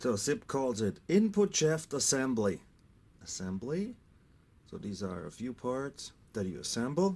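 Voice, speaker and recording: With a German accent, a man at medium pitch talks fairly slowly with long, frequent pauses and very wide pitch swings in a very clean recording with a silent background. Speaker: scooter mechanic. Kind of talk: tutorial.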